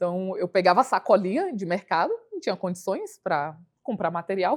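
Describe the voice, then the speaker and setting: A woman with a medium-pitched voice talks at a moderate rate. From Brasília, Brazil (satellite city). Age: 30s. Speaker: hairstylist and entrepreneur.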